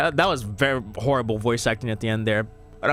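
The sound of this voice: What is heard here is an unforced reading voice.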